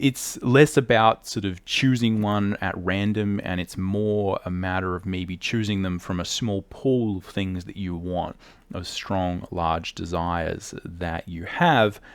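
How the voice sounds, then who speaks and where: Very deep and low, a man's voice moves with ordinary pitch variation in an Australian accent. The recording is very clean, with a silent background. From Australia, not a big city. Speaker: artist and drawing teacher. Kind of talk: educational talk to camera.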